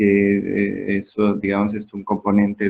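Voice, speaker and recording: A man's fairly low voice at a fairly slow pace. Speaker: medical lecturer. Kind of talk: lecture.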